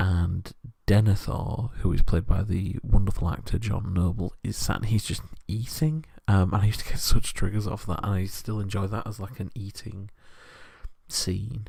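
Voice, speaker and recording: A soft-spoken, somewhat breathy man whispering. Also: moderate pace. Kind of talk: asmr soft-spoken rambling talk. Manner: soft-spoken, whispering.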